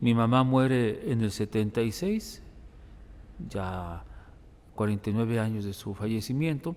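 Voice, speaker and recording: A man's medium-pitched, dark, mellow voice at a fairly slow pace, with ordinary pitch variation. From Mexico, Guadalajara (Zapopan). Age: 60s. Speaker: priest, hospital chaplain. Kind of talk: interview testimony.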